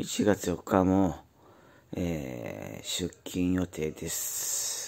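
A man's very deep, low pitch with ordinary pitch variation. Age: 40s. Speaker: YouTuber, factory worker. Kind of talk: casual monologue vlog. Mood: weary, cynical. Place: home room. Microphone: phone near.

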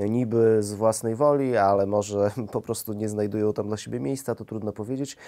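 The background is quiet as a man talks at a very fast pace. His fairly low voice has a dark, mellow tone and ordinary pitch variation. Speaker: interviewer. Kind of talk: interview questions. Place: studio. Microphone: lapel.

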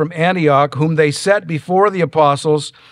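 A man speaks at a fairly slow pace in a high voice, his intonation fairly even against a quiet background. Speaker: pastor. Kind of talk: sermon. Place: church. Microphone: lapel.

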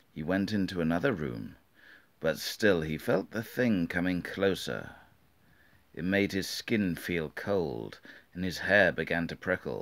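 In a British accent, a man with a very deep, low pitch talks at a fairly slow pace, leaving long, frequent pauses. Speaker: storybook reader. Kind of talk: children's book reading. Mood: calm, spooky story tone. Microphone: phone near.

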